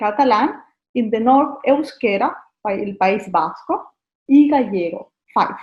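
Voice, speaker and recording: A woman speaks with a Valencian accent. Her pitch is high and her intonation lively. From Spain, Valencia. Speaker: tourist guide. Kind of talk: interview. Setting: video call. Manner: halting.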